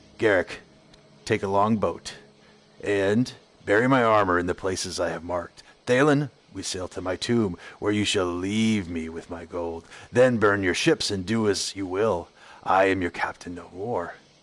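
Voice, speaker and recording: Putting on a raspy character voice, a man speaks at a fairly low pitch and a moderate pace. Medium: read story. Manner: cold, commanding.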